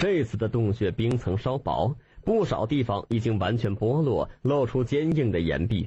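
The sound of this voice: The unforced reading voice carries a lively intonation.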